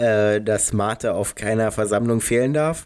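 On a very clean recording with a silent background, a man talks at a moderate pace in a fairly low pitch with a dark, mellow tone. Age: 20s. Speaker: youth church podcast co-host. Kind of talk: casual chat.

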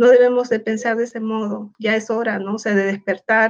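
Her intonation fairly even and her pace moderate, a woman speaks at a fairly high pitch. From Peru. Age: 50s. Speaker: educator. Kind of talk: casual interview. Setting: online livestream.

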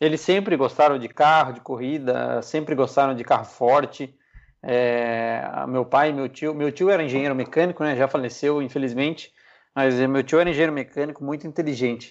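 Speaking at a moderate pace and fairly high pitch, the man has an unremarkable speaking voice. His intonation is fairly even against a quiet background. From Piedade, São Paulo interior, Brazil. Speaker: racing driver. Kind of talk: casual interview.

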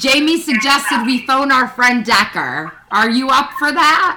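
A woman with a high pitch calls out in a raised, projected voice at a very slow pace, her intonation lively over noticeable background noise. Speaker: podcast host. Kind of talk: casual chat.

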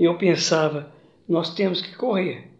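Audible room echo carries a man's voice. He speaks at a fairly slow pace with ordinary pitch variation. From Minas Gerais, Brazil (Triângulo Mineiro). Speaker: retired teacher and local historian, artist. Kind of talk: interview, personal life story.

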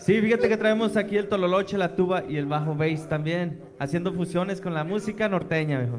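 A man with a high voice talks at a fairly quick pace, hardly pausing, with ordinary pitch variation over noticeable background noise. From Jerez, Zacatecas, Mexico. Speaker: band musician.

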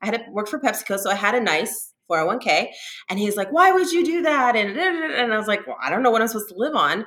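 A woman with an American accent, fairly high in pitch, at a very fast pace with very wide pitch swings. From Southern California. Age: 40s. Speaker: adult performer and influencer. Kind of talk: interview. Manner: hesitant, many fillers.

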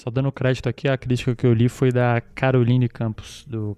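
A man speaks at a fairly quick pace in a medium pitch, his dark, mellow tone delivered with monotone, flat intonation and a dry, close sound with no echo. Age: 30s. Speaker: podcast host. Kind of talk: casual chat.

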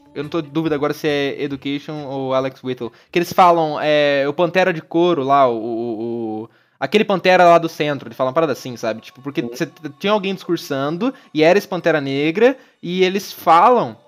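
Talking at a fairly quick pace, a man uses a fairly high pitch and lively intonation, with big swings in loudness. The recording is very clean, with a silent background. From Brazil, interior of Paraná. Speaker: film podcast host. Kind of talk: casual chat. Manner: halting, many repetitions and fillers.

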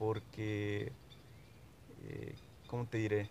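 Somewhat breathy, a man's voice sits at a fairly low pitch. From Mexico, Huasteca region of Veracruz. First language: Nahuatl (speaking Spanish). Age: 20s. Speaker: sociology graduate, Nahuatl speaker. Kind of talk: interview. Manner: halting, many fillers.

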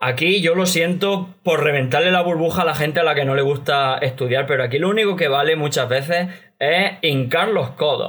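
Amid audible room echo, a man with a fairly high pitch and ordinary pitch variation talks at a moderate pace. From Spain. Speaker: Chinese language learner. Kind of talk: casual chat.

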